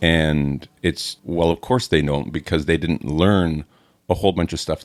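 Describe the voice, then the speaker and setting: This man's voice sits very deep and low, with vocal fry. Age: 60s. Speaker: podcast co-host; landlord. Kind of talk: casual chat.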